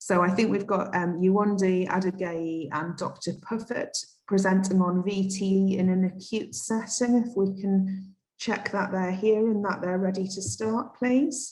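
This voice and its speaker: With a Geordie accent, a woman talks at a fairly slow pace, her voice somewhat breathy and her pitch varying in an ordinary way. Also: medium pitch for a woman. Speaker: conference moderator. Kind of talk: event moderation.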